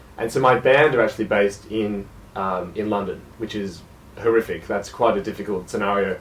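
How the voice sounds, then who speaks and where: Fairly quick speech in an Australian accent. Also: man. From Australia, South Gippsland, Victoria. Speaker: jazz musician. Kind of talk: radio interview.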